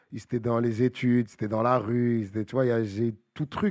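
Recorded very cleanly against a silent background, with a dry, close sound and no echo, a man in a normal speaking voice talks at a moderate pace and a medium pitch. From Paris suburbs, Bagneux. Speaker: rapper. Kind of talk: casual chat.

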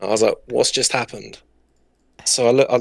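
A man with a southern English accent talks at a fairly quick pace in a dry, close sound with no echo. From southern England. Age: 20s. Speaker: Twitch streamer and gamer. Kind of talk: casual chat.

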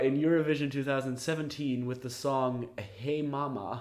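A man's dark, mellow voice, fairly high in pitch, at a fairly slow pace. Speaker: podcast host. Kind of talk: casual chat. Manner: chatty, joking.

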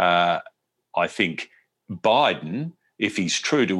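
A man speaks with an Australian accent and a very deep, low pitch. His intonation is lively. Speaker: foreign correspondent. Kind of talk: interview. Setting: remote call. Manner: halting.

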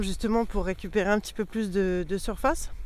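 This is a woman speaking. Her pitch is medium. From Paris suburbs, France. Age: 30s. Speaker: goat farmer. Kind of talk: casual interview on farm. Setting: outdoors on a farm.

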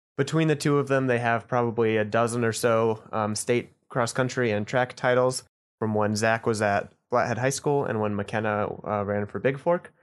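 At a moderate pace and with hardly any pauses, someone with an American accent and an ordinary speaking voice talks in fairly even intonation against a quiet background. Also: man, medium pitch for a man. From Idaho (Boise). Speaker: journalist. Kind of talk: casual interview.

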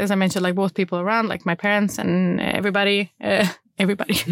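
A woman with a medium-pitched voice talks at a very fast pace. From Sweden, Malmö (Rosengård). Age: 30s. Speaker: company founder and CEO. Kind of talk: interview.

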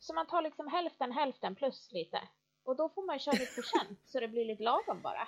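Her high voice swings very widely in pitch as the woman talks at a fairly quick pace. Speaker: knitting podcast co-host. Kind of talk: casual chat. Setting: remote recording, apart.

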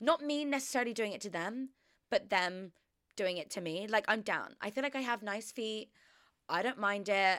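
In an Australian accent, a woman speaks at a moderate pace with an animated tone, fairly high pitch and ordinary pitch variation, on a very clean recording with a silent background. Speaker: podcast host. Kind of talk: casual chat. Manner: rambling.

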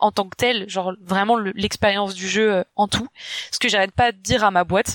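With fairly even intonation and a medium pitch, a woman speaks at a fairly quick pace, the sound dry and close with no echo. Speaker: YouTuber and UX designer. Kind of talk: casual chat.

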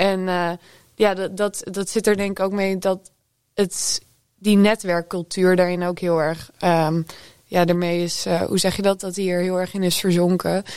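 Over a very clean recording with a silent background, a woman speaks at a medium pitch. Her pace is fairly slow and her intonation flat and monotone. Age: 20s. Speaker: music journalist. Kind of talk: panel discussion. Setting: studio.

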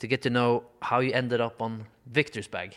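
At a moderate pace, a man speaks in a Norwegian accent. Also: very clean recording, silent background. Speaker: golf podcast co-host, former player. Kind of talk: casual interview. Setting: in a house. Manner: halting.

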